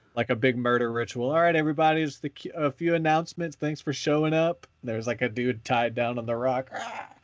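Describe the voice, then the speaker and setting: A man with an unremarkable speaking voice, medium pitch and ordinary pitch variation, at a fairly quick pace with hardly any pauses, against a quiet background. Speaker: podcast host. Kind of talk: casual chat. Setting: podcast recording.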